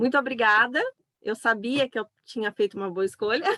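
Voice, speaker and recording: Recorded dry and close with no echo, a woman speaks at a fairly high pitch. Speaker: psychopedagogue and online event host. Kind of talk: online talk. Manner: loud.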